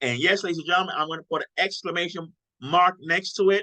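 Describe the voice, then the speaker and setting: A man speaks high for a male voice with a bright, sharp tone and an animated delivery. His pitch varies in an ordinary way, and the sound is dry and close with no echo. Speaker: sales team leader / trainer. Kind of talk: live online team training. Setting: livestream with chat. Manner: fast.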